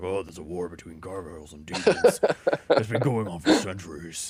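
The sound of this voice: A man puts on a gruff character voice with a very deep, low pitch. He speaks at a fairly quick pace.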